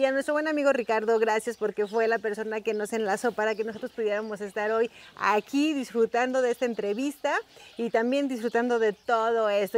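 A woman talks very fast in a high voice with ordinary pitch variation. The sound is dry and close, without echo. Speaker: YouTube host interviewer. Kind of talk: casual interview chat.

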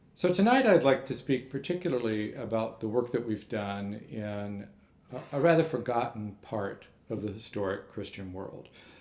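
Audible room echo surrounds a man's voice. He moves at a moderate pace with lively intonation. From Texas. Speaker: monk and manuscript scholar; invited lecturer. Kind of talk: lecture; Q&A answer. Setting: lecture hall with audience. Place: hall. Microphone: podium.

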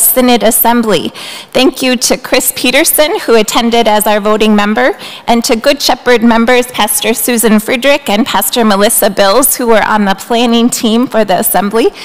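At a moderate pace, a woman speaks with very even loudness and ordinary pitch variation. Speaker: pastor. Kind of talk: church announcements and welcome. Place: church. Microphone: podium.

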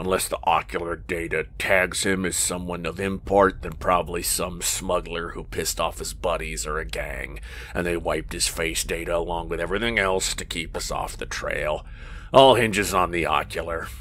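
A man puts on a gruff, growling character voice at a moderate pace, with clear background noise. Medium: read story. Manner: gruff, irritable, growling.

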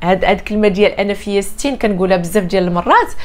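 Fairly quick pace and medium pitch from a woman speaker. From Morocco. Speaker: life coach. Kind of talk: motivational talk to camera. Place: home room.

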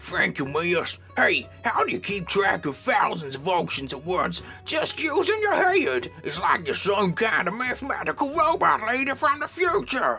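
Clear music plays in the background. A man with an extremely high pitch speaks at a moderate pace. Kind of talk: comic machinima voice acting. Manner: brash, hot-tempered, swearing.

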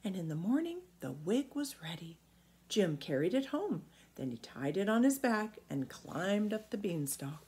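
The reading voice here is unforced.

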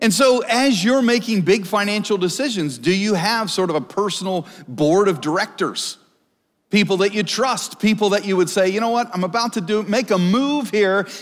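Against a quiet background, a man with a high pitch talks at a moderate pace, keeping his loudness very even and his pitch variation ordinary. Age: 40s. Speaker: pastor. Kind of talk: sermon. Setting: church stage with live audience. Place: church.

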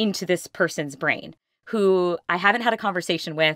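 Against a quiet background, a woman talks at a moderate pace in a bright, sharp tone, the sound dry with no echo. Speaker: podcast guest. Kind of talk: interview answer, personal story.

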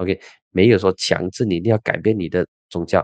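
The speaker is a man. The sound is dry with no echo, and the background stays quiet. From Malaysia. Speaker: political commentator and podcast host; political commentator, podcast host. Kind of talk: solo political commentary. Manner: casual, animated. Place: studio. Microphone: studio mic.

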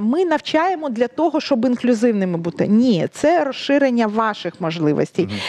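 Her pitch sits high. The woman's voice swings very widely in pitch. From Ukraine. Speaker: sign language interpreter; guest. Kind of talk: interview. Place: studio. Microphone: headset.

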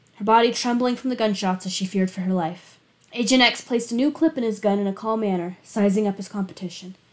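The reading voice sounds unforced. Its pitch shifts in an ordinary way.

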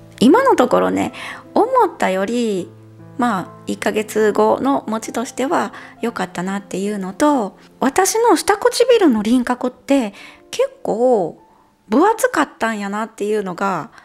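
A woman speaks at a medium pace while music plays faintly behind her. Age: 40s. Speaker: beauty vlogger. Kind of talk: casual talk to camera. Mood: relaxed, cheerful. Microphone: lapel.

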